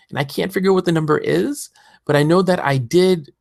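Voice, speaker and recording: A somewhat breathy voice moves at a very fast pace, recorded with a dry, close sound and no echo. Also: man, very clean recording, silent background. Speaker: podcast host. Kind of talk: podcast monologue. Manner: high energy.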